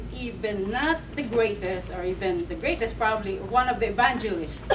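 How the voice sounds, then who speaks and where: A woman talks at a moderate pace. Noticeable background noise is present. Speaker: preacher. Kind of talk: sermon. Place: church. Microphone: camera far.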